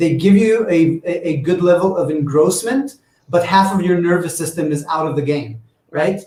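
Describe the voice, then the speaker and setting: A man talks with a non-native accent. His pitch is high. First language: not English. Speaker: VR game developer. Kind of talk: panel discussion. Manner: halting.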